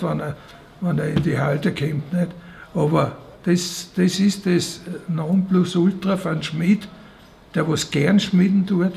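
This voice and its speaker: Over noticeable background noise, a man with a high pitch speaks at a very slow pace with fairly even intonation and long, frequent pauses. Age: 70s. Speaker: blacksmith. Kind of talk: documentary interview. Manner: halting, repetitive.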